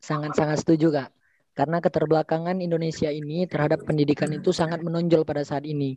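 Talking at a very fast pace in a flat monotone, a man is captured in a dry, close sound with no echo. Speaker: university student.

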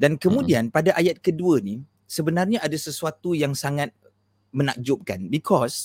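A plain, everyday voice moves at a fairly quick pace with lively intonation. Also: man, dry, close sound with no echo. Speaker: Islamic teacher. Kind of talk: religious lecture with whiteboard, livestream. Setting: live stream online, using headphones.

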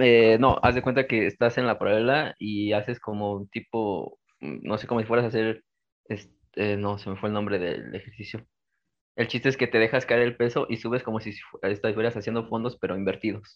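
Speaking at a moderate pace, a man uses a medium pitch and fairly even intonation in a plain, everyday voice. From Mexico City. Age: 20s. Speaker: calisthenics athlete. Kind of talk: interview.

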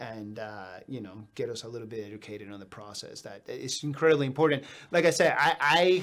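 A man with a normal speaking voice talks at a moderate pace with ordinary pitch variation. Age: 40s. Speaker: podcast host. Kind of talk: casual chat. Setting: studio.

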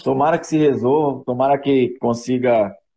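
A man with a Rio de Janeiro accent speaks at a moderate pace. His pitch is fairly high and his tone dark and mellow. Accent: carioca. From Rio de Janeiro, Brazil (Vila da Penha). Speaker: former professional footballer. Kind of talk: live podcast interview.

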